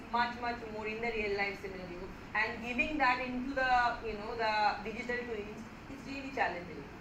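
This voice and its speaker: A high-voiced woman with a non-native accent, with audible room echo and noticeable background noise. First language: not Hindi. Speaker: lecturer. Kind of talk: lecture. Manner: halting.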